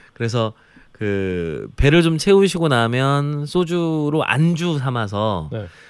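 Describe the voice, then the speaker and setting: Very wide pitch swings mark a man's medium-pitched voice on a very clean recording with a silent background. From Jeolla province, South Korea. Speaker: food columnist. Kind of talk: casual chat.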